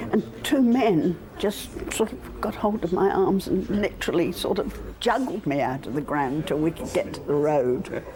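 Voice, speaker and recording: A woman's pitch swings very widely as she talks at a moderate speed amid noticeable background noise. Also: medium pitch for a woman. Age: 80s+. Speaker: football fan. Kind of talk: interview.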